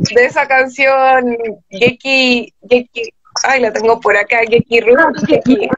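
The voice belongs to a woman with a high pitch. The sound is dry with no echo, and the background is quiet. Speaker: guest. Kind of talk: conversational panel discussion. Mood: lively, amused. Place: home room. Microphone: video call.

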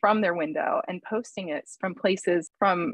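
Heard in a dry sound with no echo and a quiet background, a woman speaks at a moderate pace with fairly even intonation. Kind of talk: art critique commentary. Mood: warm, admiring.

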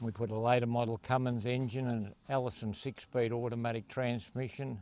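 At a moderate pace, a man speaks in a flat monotone, the sound dry with no echo. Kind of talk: interview answer. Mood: proud, relaxed. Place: open country. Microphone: handheld.

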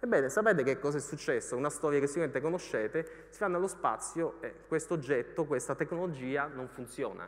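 Over a quiet background, a man talks at a very fast pace with hardly any pauses, a fairly high pitch, ordinary pitch variation, and big swings in loudness. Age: 40s. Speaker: economics journalist and author; economics journalist. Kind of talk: lecture. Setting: stage with audience. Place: hall. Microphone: headset.

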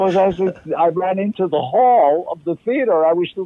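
A man talks in a New York accent at a moderate pace. His voice is high in pitch. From Harlem, New York. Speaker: actor. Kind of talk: interview answer.

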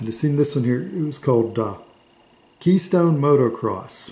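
Speaking at a middling rate. The voice is a man's. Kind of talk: casual reminiscing show-and-tell. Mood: nostalgic, relaxed. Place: home room. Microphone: phone near.

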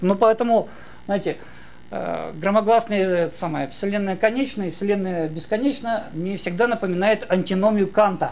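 A man's high-pitched voice at moderate pace, with ordinary pitch variation and long, frequent pauses. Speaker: philosophy lecturer. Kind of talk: conference talk. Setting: stage with audience. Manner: animated. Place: hall.

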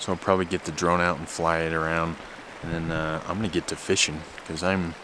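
A man talks in a very deep, low pitch with a monotone, flat intonation. The sound is dry with no echo, though there is noticeable background noise. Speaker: backpacking vlogger. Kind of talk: casual vlog chat. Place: waterside. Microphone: phone near.

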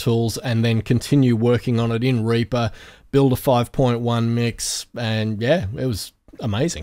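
A man with an Australian accent is heard on a very clean recording with a silent background. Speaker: podcast host, audio engineer. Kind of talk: casual chat.

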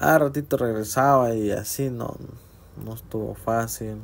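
A man with a Honduran accent speaks with ordinary pitch variation. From Honduras. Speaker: travel vlogger. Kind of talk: casual vlog narration. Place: car. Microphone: phone near.

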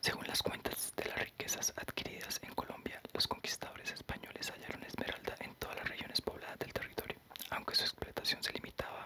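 This voice whispers in a soft-spoken way at a fairly quick pace. Hardly any pauses interrupt it. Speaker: reader of a history book. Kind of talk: reading aloud. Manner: soft whispered ASMR reading.

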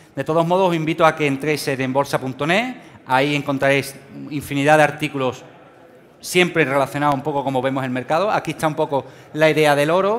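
With a Sevillian accent, a man races along at a very fast pace, his fairly high pitch held in fairly even intonation. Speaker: financial trading speaker; speaker. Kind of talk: conference talk. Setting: stage with audience. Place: hall.

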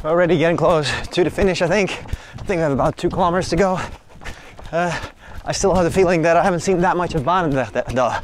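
A man's high-pitched voice at a fairly quick pace, fairly even in intonation, dry with no echo, over light background noise. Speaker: runner vlogger. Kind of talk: casual vlog chat. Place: street. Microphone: phone near.

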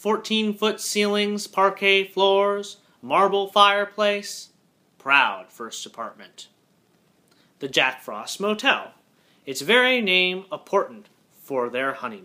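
A man speaks at a very slow pace, leaving long, frequent pauses. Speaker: poetry reader. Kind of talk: poetry reading, haiku sequence read aloud. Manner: measured, deliberate, with pauses between haiku. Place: home room. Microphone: webcam.

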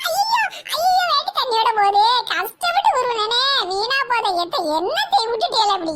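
The cartoonish character voice sits at an extremely high pitch and moves at a fairly slow pace. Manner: brash, teasing.

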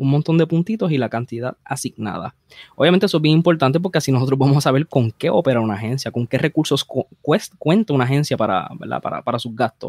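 At a very fast pace, a man speaks with lively intonation and a fairly high pitch in a dry, close sound with no echo. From Puerto Rico, Bayamón. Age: young. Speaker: police officer and columnist. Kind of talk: interview conversation. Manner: halting, repeats words.

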